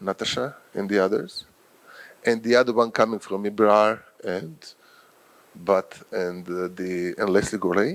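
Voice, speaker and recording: A man talks with a Croatian accent at a fairly low pitch. His pace is fairly slow, with ordinary pitch variation. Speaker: professor and journal editor. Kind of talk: lecture. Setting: workshop with audience.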